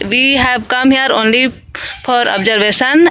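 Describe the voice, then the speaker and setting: Over noticeable background noise, a woman uses a raised, projected voice. Her pitch is high and her intonation fairly even. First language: Hindi. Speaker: English learner vlogger. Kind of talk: casual vlog. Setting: outdoors in a field. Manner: halting, repetitive fillers.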